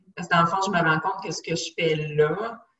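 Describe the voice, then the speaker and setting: A plain, everyday voice from a woman, fairly low in pitch, with ordinary pitch variation. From Quebec, west island of Montreal. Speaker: nutritionist. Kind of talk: casual interview.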